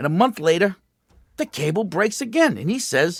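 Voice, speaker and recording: A man with an American accent talks at a very fast pace, his pitch swinging very widely. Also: dry, close sound with no echo. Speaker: radio show host. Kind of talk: call-in radio banter.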